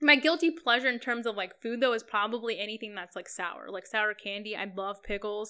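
With an American accent, a woman talks at a fairly quick pace in a fairly high, bright, sharp, animated tone, her loudness swinging widely on a very clean recording with a silent background. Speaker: friend of the host. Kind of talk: casual chat.

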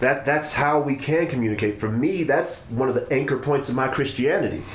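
Through noticeable background noise, a man speaks at a moderate pace. His intonation is lively. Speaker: podcast host. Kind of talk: casual conversation.

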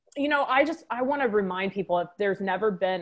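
Speaking at a fairly quick pace with a slight Texan accent, a woman uses a medium pitch and ordinary pitch variation. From Texas, Waco. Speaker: wellness business owner, former physician. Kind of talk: podcast interview.

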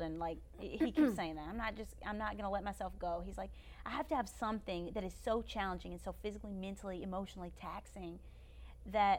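A woman with a Kentucky accent at a very fast pace. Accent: Southern US (Kentucky). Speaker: YouTuber and former beauty queen. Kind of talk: casual chat. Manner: animated.

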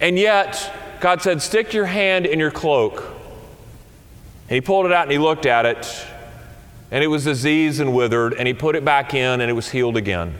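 A man with a fairly high pitch speaks with lively intonation. Noticeable background noise sits behind him. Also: moderate pace. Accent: Southern US. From US South. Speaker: senior minister. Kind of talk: sermon.

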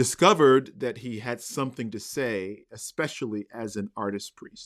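The sound is dry and close with no echo as a man at medium pitch speaks at a fairly slow pace with ordinary pitch variation. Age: 40s. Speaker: university residence hall rector. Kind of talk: interview conversation. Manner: halting.

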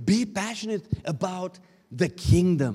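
A man with a Romanian accent speaks loudly in a high pitch. His tone is animated and his intonation lively. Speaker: pastor. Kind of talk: sermon.

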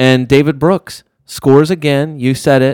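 Recorded very cleanly against a silent background, a man with a normal speaking voice talks at a fairly slow pace, his pitch medium and ordinary in its variation, the sound dry and close with no echo. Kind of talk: live commentary.

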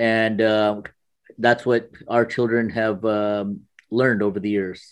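Very slow and monotone, a man speaks with flat intonation at medium pitch. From US (moved from India at nine). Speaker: immigrant parent sharing his experience. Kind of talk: interview. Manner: hesitant, many fillers.

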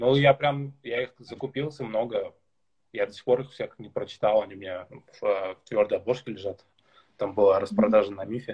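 Somewhat breathy and at medium pitch, a man speaks at a moderate pace with ordinary pitch variation, big swings in loudness and long, frequent pauses. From Tatarstan, Russia. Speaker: podcast host, blogger. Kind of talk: livestream interview. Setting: on his balcony, live video stream. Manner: halting.

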